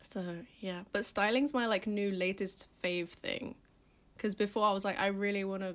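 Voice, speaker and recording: A woman with a London accent talks at a fairly quick pace, with a medium pitch and fairly even intonation. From London, England. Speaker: magazine founder and stylist. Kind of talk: podcast interview. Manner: casual, filler-heavy.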